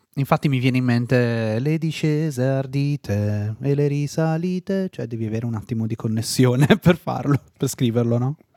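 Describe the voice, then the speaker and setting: A man's dark, mellow tone at a moderate pace, with ordinary pitch variation and a dry, close sound with no echo. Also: medium pitch for a man. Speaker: podcast host. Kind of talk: casual interview chat. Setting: studio.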